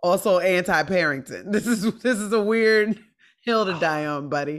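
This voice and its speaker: An animated woman talks at a moderate pace with lively intonation. The background is quiet. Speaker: stand-up comedian; podcast guest, comedian. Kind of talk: casual chat. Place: home room.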